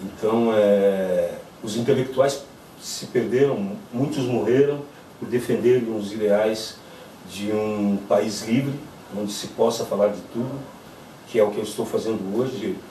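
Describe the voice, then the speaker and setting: With audible room echo and noticeable background noise, a man of medium pitch speaks at a fairly slow pace in fairly even intonation, leaving long, frequent pauses amid big swings in loudness. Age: 60s. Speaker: witness of the military dictatorship. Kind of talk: testimony. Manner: halting, with fillers.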